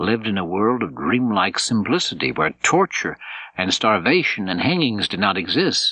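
An unforced reading voice carries the whole clip.

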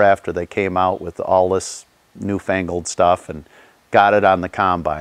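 A man with an American accent speaks at a moderate pace in a very deep, low pitch. The sound is dry with no echo, and the background is quiet. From northern Illinois, US Midwest. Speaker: farmer. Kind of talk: interview testimony. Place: garage.

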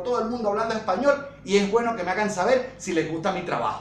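At a very fast pace and an extremely high pitch, a man talks with ordinary pitch variation, with audible room echo and light background noise. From Venezuela. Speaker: woodworking youtuber. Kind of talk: youtube outro. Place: home room.

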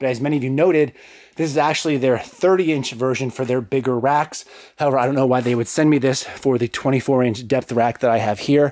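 Very fast speech from a man in a dry sound with no echo over a quiet background. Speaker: fitness vlogger. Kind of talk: casual vlog chat. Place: gym. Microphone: phone near.

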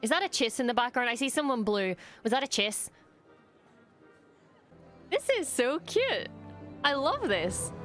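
A woman with a high pitch speaks at a moderate pace with long, frequent pauses, her voice dry with no echo and faint music in the background. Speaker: streamer reacting to show. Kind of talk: reaction commentary. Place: home room. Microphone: studio mic.

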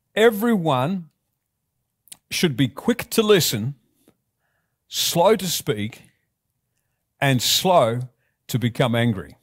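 With very wide pitch swings, a man speaks somewhat breathily in a fairly high pitch. His pace is very slow, with long, frequent pauses, against a quiet background. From Australia. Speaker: pastor. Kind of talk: sermon delivered to a congregation. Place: church. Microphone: headset.

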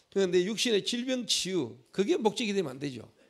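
The man's intonation is lively. His words come out very fast. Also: quiet background. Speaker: pastor. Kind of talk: sermon. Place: church. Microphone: handheld.

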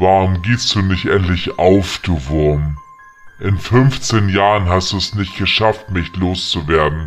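Clear music plays behind a man who speaks slowly in a put-on character voice with a very deep, low pitch, at a fairly slow pace. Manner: taunting, mocking.

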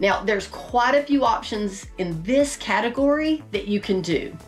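A woman speaks at a fairly slow pace with faint music in the background. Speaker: RV lifestyle vlogger. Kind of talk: tutorial. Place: home room.

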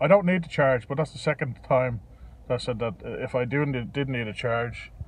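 Somewhat breathy, the voice moves at a moderate pace with ordinary pitch variation and a dry sound with no echo. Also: man. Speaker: electric car driver vlogger. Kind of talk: casual vlog chat. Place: car. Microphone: phone near.

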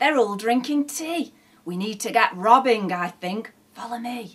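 A female-sounding put-on character voice, fairly high in pitch, comes out raised and projected at a moderate pace with some hissing. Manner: hissed, conspiratorial.

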